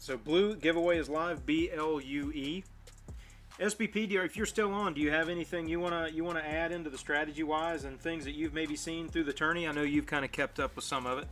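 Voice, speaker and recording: A man with an American accent at a very fast pace, fairly high in pitch, with fairly even intonation and music in the background. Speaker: streamer hosting a mobile gaming show. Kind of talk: casual live stream chat. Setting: live stream.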